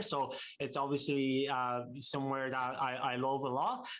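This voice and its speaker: A man with an Irish accent speaks at a moderate pace and medium pitch. His intonation is fairly even, and audible room echo surrounds it. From Ireland, Dublin. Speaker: real estate investor. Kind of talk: casual interview. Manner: halting, many fillers.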